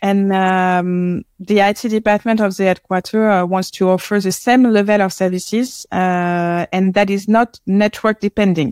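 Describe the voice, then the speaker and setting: The voice carries a French accent, with fairly even intonation, very even loudness, and a moderate pace. The recording is very clean, with a silent background and a dry, close sound with no echo. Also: woman, medium pitch for a woman. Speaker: marketing head at a tech company. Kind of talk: casual interview chat. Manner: hesitant, halting, many fillers.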